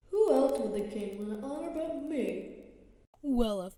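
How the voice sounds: In a very clean recording with a silent background, a man performs a cartoonish character voice.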